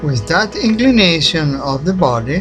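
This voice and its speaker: Speaking very slowly with a non-native accent, a man with a fairly high pitch makes very wide pitch swings while music plays in the background. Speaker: independent researcher. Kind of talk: documentary narration.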